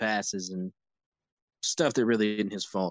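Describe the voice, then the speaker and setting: With a normal speaking voice, a man talks at a moderate pace, his fairly low pitch kept to a fairly even intonation. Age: 20s. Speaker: college football scout. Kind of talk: casual chat.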